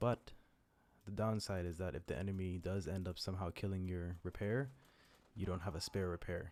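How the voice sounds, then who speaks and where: Soft-spoken and fairly quick, a man talks in a very deep, low pitch with fairly even intonation. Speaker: gaming commentator. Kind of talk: live commentary. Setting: at home late at night. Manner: soft-spoken, speaking quietly.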